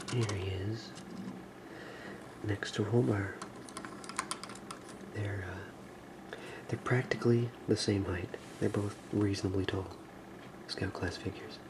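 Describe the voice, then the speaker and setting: Soft-spoken and whispering, a man talks at a fairly slow pace with long, frequent pauses amid noticeable background noise. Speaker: ASMR toy reviewer. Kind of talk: ASMR action figure review. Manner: soft-spoken, whispery.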